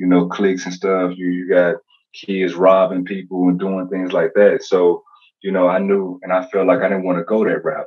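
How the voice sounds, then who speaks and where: Against a quiet background, a man with a very deep, low voice speaks at a moderate pace. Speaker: guest. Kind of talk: interview answer. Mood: reflective, calm. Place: home room. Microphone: video call.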